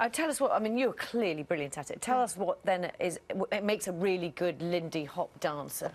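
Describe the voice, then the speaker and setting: A woman with a plain, everyday voice, lively intonation and a fairly quick pace. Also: medium pitch for a woman. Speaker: TV presenter. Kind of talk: TV breakfast news interview.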